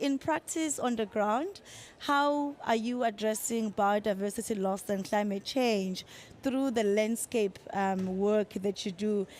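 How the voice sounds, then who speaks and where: A woman with a Zulu accent speaks at a fairly slow pace in a fairly high voice, her pitch varying in an ordinary way. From South Africa. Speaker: panel moderator. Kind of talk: panel moderation. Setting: conference side event with audience.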